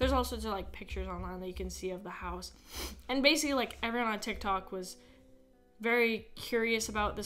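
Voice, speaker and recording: Faint music sits in the background. Over it, a woman speaks fairly quickly. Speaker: podcast host. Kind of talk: casual podcast chat. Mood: serious, somewhat uneasy. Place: home room. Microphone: studio mic.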